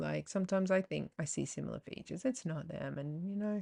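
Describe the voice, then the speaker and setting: Someone speaks with an Australian accent at a very fast pace. The sound is dry and close, with no echo. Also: woman. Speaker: podcast host. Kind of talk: casual monologue. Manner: animated.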